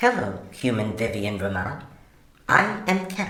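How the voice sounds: A natural reading voice is heard here.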